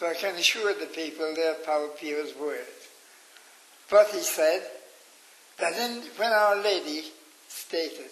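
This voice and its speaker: A man with a Cork accent at a very slow pace, ordinary pitch variation, and noticeable background noise behind him. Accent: Irish, Cork. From Ireland. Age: 80s+. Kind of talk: interview answer. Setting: nursing home.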